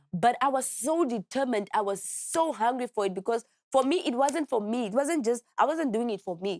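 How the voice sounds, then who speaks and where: A woman with a Namibian accent speaks at a fairly quick pace, high in pitch, with lively intonation and hardly any pauses. The recording is very clean with a silent background and a dry, close sound with no echo. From Namibia, Walvis Bay. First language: Oshikwanyama. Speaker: musician and activist. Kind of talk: interview. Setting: studio.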